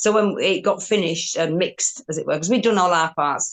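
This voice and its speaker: A woman in a Yorkshire accent at a fairly quick pace. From Yorkshire, northern England. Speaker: rock guitarist. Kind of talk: interview.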